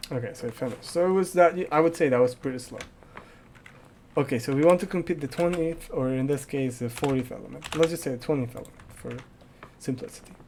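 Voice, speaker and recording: Over noticeable background noise, a man with fairly high pitch talks at a very fast pace with long, frequent pauses, ordinary pitch variation, and big swings in loudness. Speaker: programming tutor and gaming youtuber. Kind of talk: tutorial.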